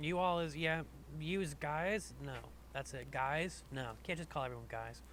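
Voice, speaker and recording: A man speaks at a fairly slow pace, and audible room echo follows his voice. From US South. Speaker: podcast host. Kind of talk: casual chat.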